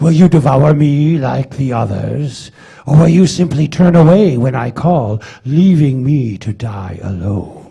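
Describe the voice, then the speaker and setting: Using a put-on character voice, a man speaks at a fairly slow pace with lively intonation and a fairly high pitch. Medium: stage play. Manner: brooding, scornful.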